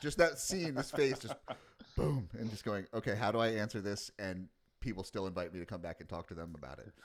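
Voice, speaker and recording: A man talks in a normal speaking voice at a fairly quick pace and fairly low pitch. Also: lively intonation. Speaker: podcast host. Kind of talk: conversational interview question.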